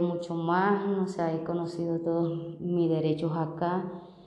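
Over noticeable background noise and audible room echo, a woman speaks fairly slowly in a fairly low pitch with monotone, flat intonation. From Venezuela. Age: 30s. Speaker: migrant street vendor. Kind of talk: testimony. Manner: halting.

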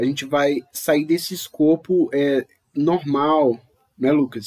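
A man with a normal speaking voice talks at a fairly high pitch, his intonation fairly even and the sound dry and close with no echo. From Brazil. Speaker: podcast host. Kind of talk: casual podcast discussion.

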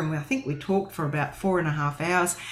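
Noticeable background noise sits behind the clip. A woman speaks with ordinary pitch variation. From Western Australia. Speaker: co-host of Bible study. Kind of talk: livestream Bible study.

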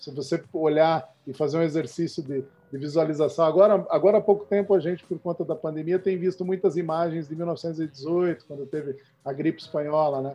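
With a dark, mellow tone and a fairly high pitch, a man talks with hardly any pauses, fairly even intonation and big swings in loudness. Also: moderate pace. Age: 40s. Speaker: startup founder and CEO. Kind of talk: interview. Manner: halting, frequent repetitions.

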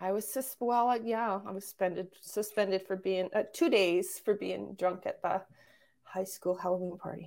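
In a very clean recording with a silent background, a woman with a Canadian accent and an unremarkable speaking voice talks at a moderate pace, medium pitch and fairly even intonation. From Calgary, Alberta, Canada. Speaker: former financial planner and entrepreneur. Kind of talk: casual interview chat.

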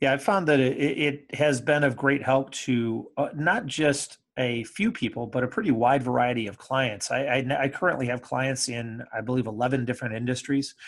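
Speaking at a moderate pace with an American accent, a man uses an ordinary speaking voice with ordinary pitch variation. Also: medium pitch for a man, quiet background. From Michigan, US Midwest (Kalamazoo area). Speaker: creativity and business coach. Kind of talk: interview conversation.

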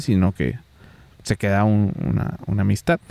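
A man talks at a fairly slow pace in a dark, mellow tone. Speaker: podcast co-host, event videographer. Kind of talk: casual chat. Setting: rented cabin, Nuevo León.

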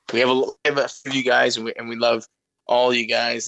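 A man with a Canadian accent has a bright, sharp tone, recorded with a dry, close sound and no echo. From Greater Toronto Area, Canada. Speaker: soccer podcast co-host and youth coach. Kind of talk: casual chat. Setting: phone call. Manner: animated.

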